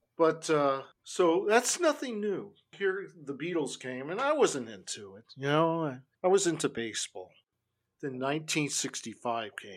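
A man with a Californian accent speaks fairly slowly at a fairly high pitch, in a very clean recording with a silent background. His voice makes very wide pitch swings and big swings in loudness. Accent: California American English. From Los Angeles, US West Coast. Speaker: punk musician and music critic. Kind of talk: casual interview chat.

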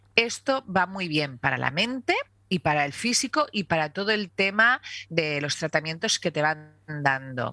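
In a dry, close sound with no echo, a woman with a fairly low, bright, sharp voice speaks at a fairly slow pace with very wide pitch swings. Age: 50s. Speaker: breast cancer survivor. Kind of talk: casual interview.

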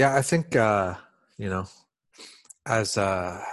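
In a quiet background, a normal speaking voice with ordinary pitch variation comes through dry and close with no echo. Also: man. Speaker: podcast host. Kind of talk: conversational interview.

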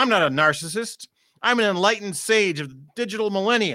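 With a bright, sharp tone, a man speaks in a raised, projected voice at a moderate pace and ordinary pitch variation, on a very clean recording with a silent background. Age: 40s. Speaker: performance poet and podcast co-host. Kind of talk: poetry performance; casual chat. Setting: studio.

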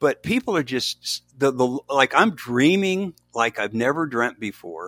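On a very clean recording with a silent background, a man of medium pitch talks at a fairly slow pace with very wide pitch swings. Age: 70s. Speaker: author and minister.

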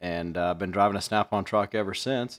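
On a very clean recording with a silent background, a man with a Midwestern American accent speaks at a fairly low pitch with fairly even intonation. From US Midwest, central Illinois. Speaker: podcast host, tool dealer. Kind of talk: casual chat.

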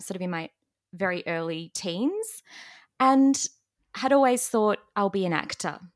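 A woman with an Australian accent and a medium pitch speaks at a moderate pace with lively intonation. The recording is very clean and dry, close with no echo and a silent background. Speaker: speech pathologist and opera singer. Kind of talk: podcast interview.

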